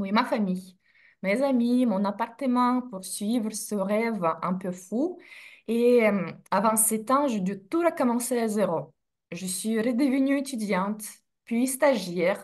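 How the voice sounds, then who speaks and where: Very slowly, a woman talks in a fairly high, somewhat breathy voice. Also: ordinary pitch variation. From Russia (Sverdlovsk region, USSR). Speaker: in-house legal director. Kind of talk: interview, casual chat. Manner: hesitant with fillers.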